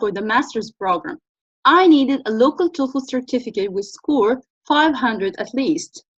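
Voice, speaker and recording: In an Arabic accent, a woman talks with a high pitch and lively intonation. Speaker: business researcher and channel host. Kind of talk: talk-to-camera tutorial.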